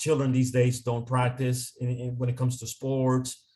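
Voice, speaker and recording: A man speaks with a Spanish accent, his voice somewhat breathy. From Dominican Republic. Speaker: consultant. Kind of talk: interview.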